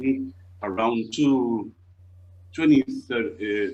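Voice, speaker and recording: A man with an Argentine accent, very slow pace and ordinary pitch variation. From Argentina, Buenos Aires. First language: Spanish. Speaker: costume maker, business owner. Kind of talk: interview. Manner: halting.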